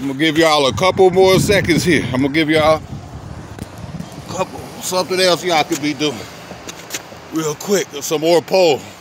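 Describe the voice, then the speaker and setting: A man's dry sound with no echo carries at a moderate pace through noticeable background noise. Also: ordinary pitch variation. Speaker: fitness vlogger. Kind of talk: casual workout tutorial chat. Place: open country.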